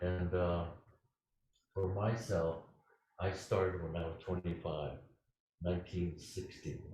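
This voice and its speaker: A man with a very deep, low voice and a dark, mellow, somewhat breathy tone speaks in a monotone, flat intonation. His pace is fairly slow, with long, frequent pauses and audible room echo. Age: 80s+. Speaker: Zen teacher. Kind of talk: dharma talk; answering a question. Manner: halting.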